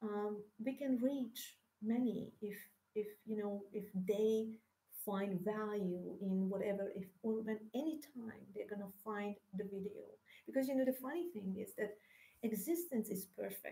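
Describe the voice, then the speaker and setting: Speaking at a fairly slow pace, a woman has a Hungarian accent and a fairly high pitch. Her tone is dark and mellow, and somewhat breathy. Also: ordinary pitch variation. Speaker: spiritual teacher. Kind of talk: spiritual monologue. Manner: halting.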